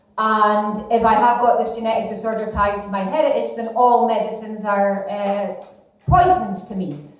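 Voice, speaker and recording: A woman speaks at a moderate pace in a Scottish accent. Audible room echo and noticeable background noise sit behind her. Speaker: comedian. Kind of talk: stand-up. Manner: halting.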